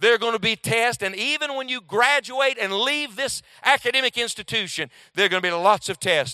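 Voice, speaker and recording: A man with an extremely high pitch projects a raised voice in a bright, sharp tone, at a fairly quick pace with lively intonation. The sound is dry and close with no echo, the recording very clean with a silent background. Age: 40s. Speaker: preacher. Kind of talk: sermon.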